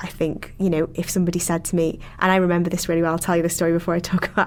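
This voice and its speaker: A woman speaks with a Liverpool accent at a fairly low pitch. Her intonation stays flat and monotone. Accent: Scouse. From Liverpool, England. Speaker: PhD researcher. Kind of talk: interview conversation. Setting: podcast recording.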